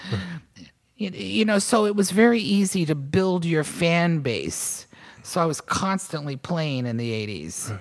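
Moving at a fairly slow pace, a woman speaks with very wide pitch swings. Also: fairly low pitch for a woman. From Virginia, US South. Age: 60s. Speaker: musician. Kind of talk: casual interview chat.

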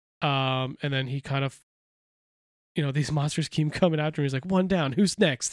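A man with an unremarkable speaking voice talks at a moderate pace. His fairly high voice keeps a fairly even intonation. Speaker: comic book podcast co-host. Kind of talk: casual chat.

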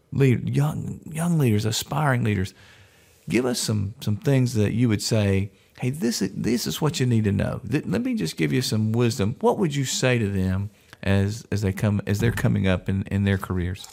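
In an unremarkable speaking voice, a man talks at a fairly low pitch with lively intonation. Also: moderate pace. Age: 60s. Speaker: podcast host. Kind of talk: interview.

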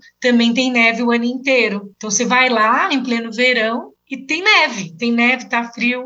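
Ordinary pitch variation at a moderate pace with hardly any pauses. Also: woman, high pitch for a woman. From Brazil, São Paulo. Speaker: travel blogger and tour guide. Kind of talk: casual interview.

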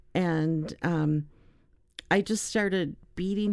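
A woman speaks in a dark, mellow tone at a fairly low pitch. The recording is very clean, with a silent background. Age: 60s. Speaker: doll maker and peace activist. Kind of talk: casual interview. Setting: studio. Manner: halting.

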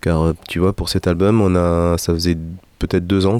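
A man's very deep, low voice, flat and monotone, at a moderate pace, on a very clean recording with a silent background. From Peru, South America, Middle East and Europe. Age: 40s. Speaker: musician and singer. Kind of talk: interview.

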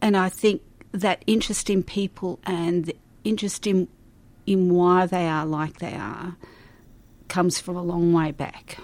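At a fairly slow pace with long, frequent pauses, a woman speaks at a fairly low pitch with fairly even intonation. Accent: Australian. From Melbourne, Australia. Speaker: retired primary school teacher. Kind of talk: interview.

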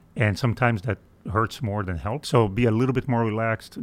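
A man with a Portuguese accent, fairly low pitched, at a moderate pace, in a very clean recording with a silent background. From Brazil. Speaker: aerospace engineering executive. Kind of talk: interview. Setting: studio.

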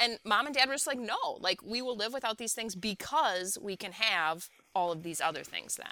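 An unremarkable speaking voice with an American accent, lively intonation and a moderate pace. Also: woman, fairly high pitch for a woman. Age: 40s. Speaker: English teacher and author. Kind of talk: casual interview chat. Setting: remote call.

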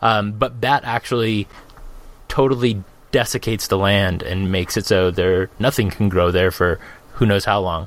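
This man has an unremarkable speaking voice with fairly low pitch. His pitch varies in an ordinary way, and he keeps a moderate pace. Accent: American. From Arizona, US (Phoenix). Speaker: tabletop gaming podcast co-host. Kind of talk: casual chat.

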